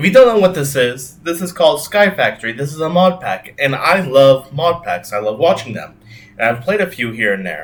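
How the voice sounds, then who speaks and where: Loud and at a fairly quick pace, a man talks at a fairly high pitch with very wide pitch swings. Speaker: gaming YouTuber. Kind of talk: gameplay commentary. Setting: home recording with webcam. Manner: casual, filler-heavy.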